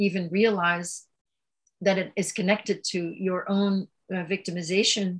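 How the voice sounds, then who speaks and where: Delivery is fairly slow. There is a somewhat breathy quality to the voice. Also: woman. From Belgium. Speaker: author and yoga advocate. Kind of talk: interview about personal trauma and spirituality.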